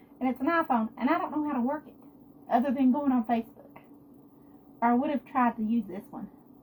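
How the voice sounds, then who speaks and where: A woman speaks at a moderate pace in a high pitch. Background noise is noticeable. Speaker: home cooking livestreamer. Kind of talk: live cooking stream.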